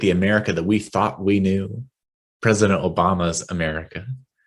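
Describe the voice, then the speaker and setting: A man in a West Texas accent talks at a moderate pace with a fairly low pitch. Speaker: minister. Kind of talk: sermon. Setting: online worship service.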